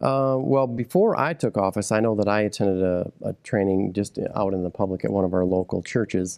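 In an American accent, a man with an ordinary speaking voice talks at a fairly quick pace, fairly low in pitch with ordinary pitch variation and very even loudness. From Michigan, Midland County. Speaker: county sheriff. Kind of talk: interview.

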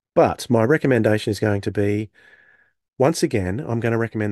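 In an Australian accent, a man speaks at a fairly low pitch. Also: dry, close sound with no echo, quiet background. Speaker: podcast co-host. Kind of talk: casual chat.

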